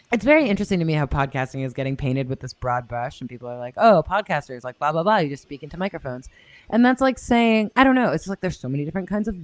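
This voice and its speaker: A woman with a very deep, low pitch talks at a very fast pace in an animated tone, with very wide pitch swings and big swings in loudness, in a dry, close sound with no echo over a quiet background. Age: 30s. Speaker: podcast producer and host. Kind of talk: casual interview chat.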